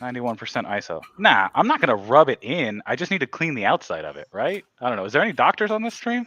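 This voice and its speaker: A man speaks at a very fast pace with hardly any pauses, his fairly high voice carrying vocal fry and very wide pitch swings. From US, Mexican family. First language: Spanish. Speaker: scale model hobbyist livestreamer. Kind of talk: casual chat. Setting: livestream video call.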